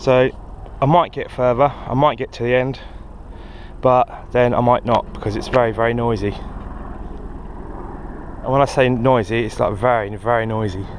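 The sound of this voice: Fairly even intonation at a moderate pace, with long, frequent pauses and faint background noise. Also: man, medium pitch for a man.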